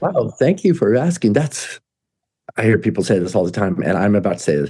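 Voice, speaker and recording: A somewhat breathy male voice with an American accent, medium in pitch, with very wide pitch swings. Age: 60s. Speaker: musician. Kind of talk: casual chat. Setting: studio. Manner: halting.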